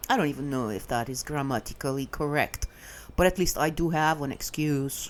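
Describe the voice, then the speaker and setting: With a non-native accent, a woman talks at a fairly quick pace. Her pitch is very deep and low, with ordinary variation. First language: not English. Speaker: vlogger. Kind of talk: casual monologue rant. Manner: halting, many filler sounds.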